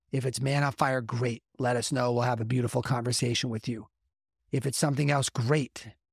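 Somewhat breathy and flat in a monotone, the voice moves at a fairly quick pace, recorded dry and close with no echo. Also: man, medium pitch for a man. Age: 50s. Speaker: men's coach and podcast host. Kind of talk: motivational monologue.

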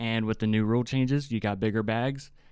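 A man with a slight West Virginia accent, fairly low pitch, fairly even intonation, and a fairly quick pace, on a very clean recording with a silent background. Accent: slight West Virginia twang. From West Virginia, Hurricane. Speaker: student podcast co-host. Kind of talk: casual sports chat. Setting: studio.

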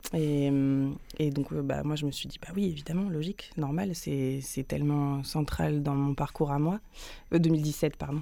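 In a very clean recording with a silent background, a woman speaks slowly-ish at a fairly slow pace with a very deep, low pitch, fairly even intonation and a dark, mellow tone. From Paris, France. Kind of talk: radio interview. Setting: studio.

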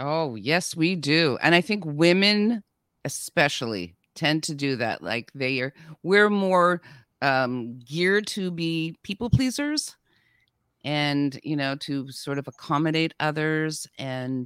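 A woman with a very deep, low pitch talks at a fairly slow pace in an animated tone with lively intonation. The recording is very clean, with a silent background and a dry, close sound with no echo. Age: 60s. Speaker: guest, actress and podcaster. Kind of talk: casual interview chat. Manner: animated, laughs often.

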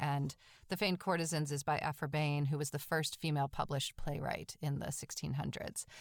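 In a very clean recording with a silent background, a woman with an American accent speaks in a very deep, low pitch, her intonation monotone and flat, at a fairly quick pace. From Massachusetts, North Shore of Boston. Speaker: theatre director. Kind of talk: interview.

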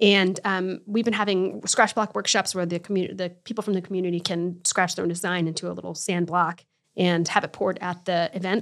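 A woman with an American accent has an ordinary speaking voice, medium in pitch with fairly even intonation. She talks at a fairly quick pace on a very clean recording with a silent background. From Connecticut. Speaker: art studio manager. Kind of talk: casual interview. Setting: studio.

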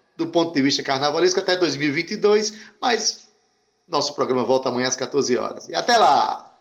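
Lively intonation marks the speech. Its tempo is moderate. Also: man, high pitch for a man. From Brazil, Paraíba (João Pessoa). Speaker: radio host. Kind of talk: radio talk show.

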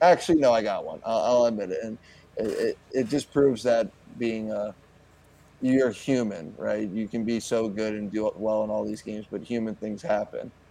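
Speaking at a moderate pace in a medium pitch, a man with a plain, everyday voice shows ordinary pitch variation. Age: 20s. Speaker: pro hockey goaltender. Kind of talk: interview. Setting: remote interview over the internet.

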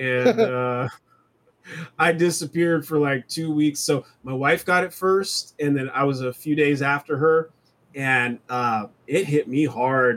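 The man's voice sits fairly high in pitch with ordinary pitch variation. He talks at a fairly slow pace. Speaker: podcast host. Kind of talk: casual chat. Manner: hesitant, filler-heavy.

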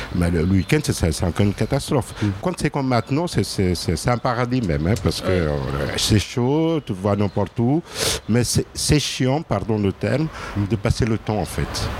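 A man's fairly low-pitched voice at a fairly slow pace, with very wide pitch swings, very even loudness and noticeable background noise. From Portugal. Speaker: person in precarity, restaurant user. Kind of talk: testimony. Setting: outdoors under a tent.

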